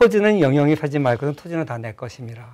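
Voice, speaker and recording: The speaker's intonation is lively. The background is quiet. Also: man. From South Korea. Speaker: professor. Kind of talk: interview, lecture-like explanation. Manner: explanatory, articulate. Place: studio. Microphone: lapel.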